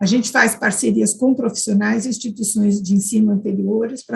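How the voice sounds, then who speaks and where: A woman's somewhat breathy, fairly high voice at a fairly quick pace. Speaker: university professor, conference panelist. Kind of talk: conference presentation.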